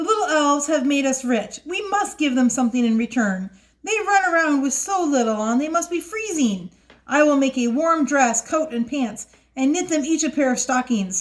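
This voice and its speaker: A woman puts on a character voice with a high pitch and very wide pitch swings. She delivers it at a moderate pace. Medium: read story.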